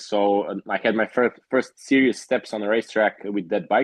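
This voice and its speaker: At a moderate pace, a man with a medium pitch talks with fairly even intonation in a dry, close sound with no echo. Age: 20s. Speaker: motorcycle racer. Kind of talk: interview. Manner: halting.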